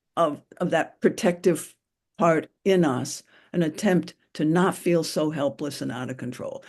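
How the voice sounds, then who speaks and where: Against a quiet background comes a dark, mellow tone. The pace is fairly slow and the pitch varies in an ordinary way. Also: woman. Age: 80s+. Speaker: therapist and group leader. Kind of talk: group discussion facilitation.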